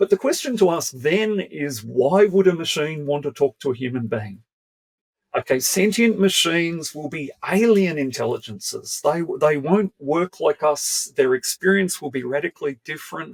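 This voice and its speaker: A man speaks at a moderate pace in a plain, everyday voice, fairly high-pitched, with a dry, close sound and no echo. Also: lively intonation. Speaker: philosophy professor. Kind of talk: interview.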